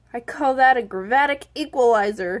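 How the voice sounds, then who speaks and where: A woman does a put-on character voice, high in pitch, at a moderate pace with ordinary pitch variation. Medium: read story. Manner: nervous.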